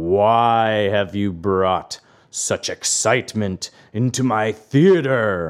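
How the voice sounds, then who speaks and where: Putting on a character voice, a man speaks at a very slow pace and a fairly low pitch. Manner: imposing, angry.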